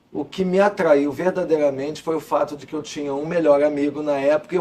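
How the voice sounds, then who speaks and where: This man talks at a very fast pace. His fairly high pitch stays monotone and flat. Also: big swings in loudness. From Rio de Janeiro, Brazil (Copacabana). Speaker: law professor and former prosecutor. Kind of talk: interview.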